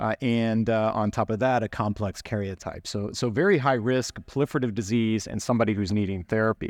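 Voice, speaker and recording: A man with a normal speaking voice talks at a medium pitch and a fairly quick pace, using fairly even intonation and hardly any pauses, in a dry, close sound with no echo and a quiet background. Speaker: oncologist presenter. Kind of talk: medical lecture. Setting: conference stage.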